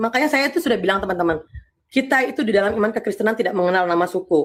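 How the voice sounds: A woman speaks at a fast pace.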